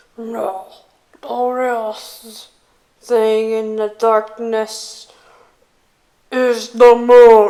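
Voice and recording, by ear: A put-on character voice, female-sounding and fairly high-pitched for a woman, very slow, monotone and flat, with long, frequent pauses.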